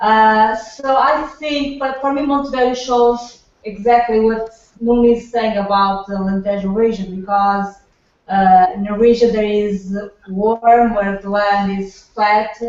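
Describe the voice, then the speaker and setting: A fairly high-pitched woman with a Portuguese accent, speaking at a fairly slow pace with fairly even intonation. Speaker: winemaker. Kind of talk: product presentation on video call. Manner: halting, many repetitions.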